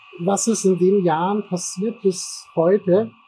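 A man with a high voice speaks at a very slow pace and with fairly even intonation over noticeable background noise. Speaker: IT security consultant. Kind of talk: casual interview. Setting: café. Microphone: poor recording quality.

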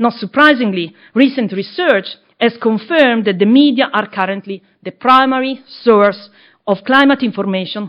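A woman with an ordinary speaking voice, fairly high pitch, lively intonation and a moderate pace. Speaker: book editor and academic. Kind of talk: panel introductions and presentation. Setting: live event with audience.

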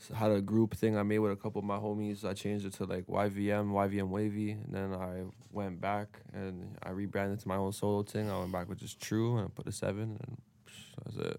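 A man's dark, mellow voice, fairly low in pitch, monotone and flat, at a fairly quick pace. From Canada, Toronto. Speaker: rapper. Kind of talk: casual interview.

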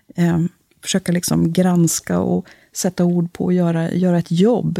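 A woman with a fairly low, dark and mellow voice speaks at a fairly slow pace in a flat monotone, the sound dry and close with no echo. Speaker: parish priest. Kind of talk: casual interview. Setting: studio.

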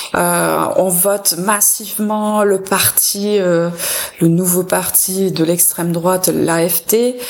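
A woman with a German accent talks at a very slow pace and medium pitch, with monotone, flat intonation. Her loudness stays very even amid noticeable background noise. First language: German (speaking French). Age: 40s. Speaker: cultural institute director. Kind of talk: radio interview.

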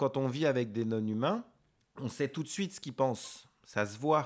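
On a very clean recording with a silent background, a man talks at a moderate pace and medium pitch, with ordinary pitch variation. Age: 50s. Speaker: veterinarian. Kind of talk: interview conversation. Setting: veterinary office. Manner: halting, many hesitations.

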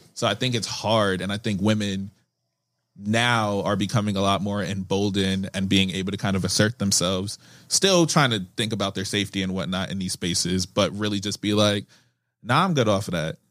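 A plain, everyday voice belongs to a man with a fairly low pitch and fairly even intonation. He speaks at a fairly quick pace in a very clean recording with a silent background. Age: 20s. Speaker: English teacher. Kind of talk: casual chat.

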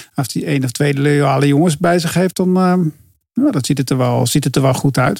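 A man with a plain, everyday voice speaks at a moderate pace, his pitch fairly high with ordinary pitch variation. His loudness stays very even. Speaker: cycling pundit. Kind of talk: casual chat.

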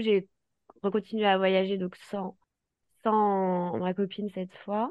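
Monotone and flat, a woman's voice sits at a medium pitch. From France, raised in Paris. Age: 30s. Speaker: travel planner. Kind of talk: casual chat.

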